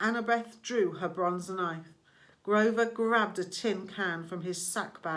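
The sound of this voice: The pitch of this unforced reading voice shifts in an ordinary way.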